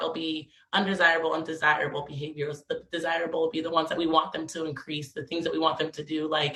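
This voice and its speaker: The voice has a bright, sharp tone. It moves at a fairly quick pace. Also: woman. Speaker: parent coach. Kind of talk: online presentation. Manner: fast; animated.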